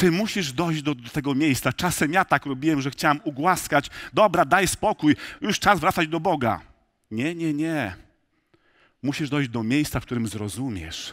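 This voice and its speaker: At a moderate pace and with lively intonation, the voice comes through against a quiet background. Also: man. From rural Poland. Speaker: pastor. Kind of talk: sermon. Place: church.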